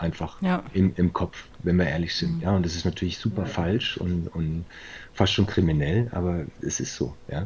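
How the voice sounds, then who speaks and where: A man with a very deep, low pitch speaks at a moderate pace. His voice is somewhat breathy, and his intonation is fairly even. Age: 40s. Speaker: managing director of a recruitment firm. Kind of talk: interview. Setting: virtual studio.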